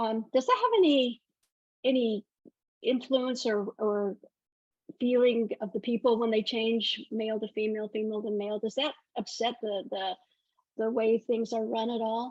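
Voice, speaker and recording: With an American accent, a woman talks at a moderate pace in a fairly high voice with fairly even intonation, leaving long, frequent pauses, in a dry, close sound with no echo. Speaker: podcast host. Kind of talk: interview. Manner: halting.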